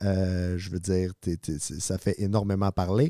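A man with a Quebec accent, recorded dry and close with no echo, very clean against a silent background. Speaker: podcast co-host. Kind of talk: casual interview.

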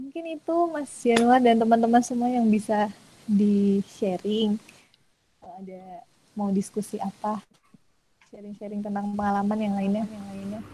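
A woman talks in a dark, mellow, somewhat breathy tone, her pitch varying in an ordinary way. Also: medium pitch for a woman, moderate pace, big swings in loudness. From Indonesia, Bantul (Yogyakarta). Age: 20s. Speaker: in-house lawyer. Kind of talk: webinar talk.

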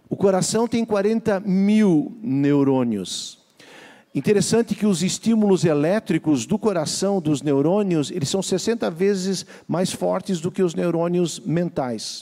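Pitched high, a man speaks very slowly with lively intonation. His tone is dark and mellow. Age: 60s. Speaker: pastor. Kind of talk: sermon.

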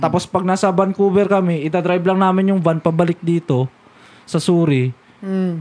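Here a man talks in a high voice at a fairly quick pace. The sound is dry and close, with no echo. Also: fairly even intonation, very even loudness. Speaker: podcast co-host. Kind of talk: casual chat.

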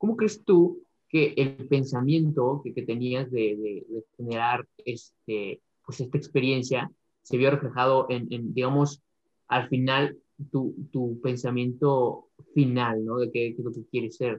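At a very slow pace, a man delivers his words. His voice sits at a medium pitch and varies in an ordinary way. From Mexico City. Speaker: podcast co-host, mechatronics engineer. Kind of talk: interview.

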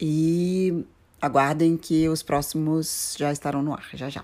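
Very deep and low in pitch, a woman speaks with ordinary pitch variation. The recording is very clean with a silent background. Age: 40s. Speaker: podcast co-host, psychologist. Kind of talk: casual chat.

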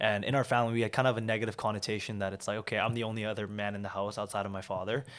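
A man with a Canadian accent speaks at a very fast pace with hardly any pauses, his pitch fairly low. His intonation is monotone and flat, and the recording is very clean with a silent background. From Vancouver, Canada (born in South Korea, moved at 7). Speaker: entrepreneur. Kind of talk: interview.

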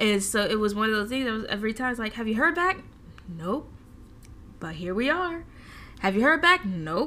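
This voice has a bright, sharp tone and very wide pitch swings. It moves at a moderate pace with long, frequent pauses. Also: woman, fairly high pitch for a woman. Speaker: podcast host. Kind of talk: casual faith talk. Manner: stumbles and stutters at times.

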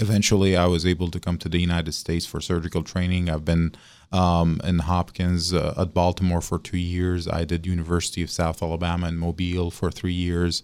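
A man speaks in a very deep, low pitch at a fairly quick pace. His monotone, flat intonation runs on with hardly any pauses. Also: very clean recording, silent background. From Syria. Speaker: vascular surgeon. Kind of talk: radio interview. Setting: studio.

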